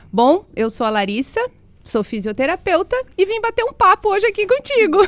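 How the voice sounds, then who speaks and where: With lively intonation, a woman talks fairly quickly. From interior of Paraná, Brazil. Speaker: physiotherapist. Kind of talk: casual interview.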